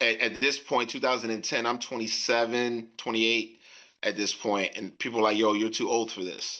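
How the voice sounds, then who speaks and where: Speaking with an American accent, a man keeps a medium pitch, a moderate pace and a monotone, flat intonation. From Northern Virginia / Washington DC. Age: 40s. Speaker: rapper and arena football player. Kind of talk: interview. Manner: halting.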